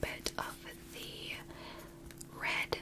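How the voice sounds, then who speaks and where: A woman whispers in a soothing tone. Noticeable background noise can be heard. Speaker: ASMR creator. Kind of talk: ASMR makeup tutorial talk to camera. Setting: close-up sensitive microphone recording. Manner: soft-spoken, whispery, soothing.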